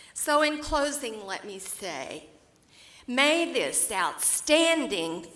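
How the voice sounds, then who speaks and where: In an Oklahoma accent, a woman speaks very slowly with a bright, sharp tone and very wide pitch swings, and room echo is audible. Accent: Oklahoma rural Southern US. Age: 80s+. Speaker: award recipient, businesswoman. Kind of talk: keynote speech. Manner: heartfelt, formal.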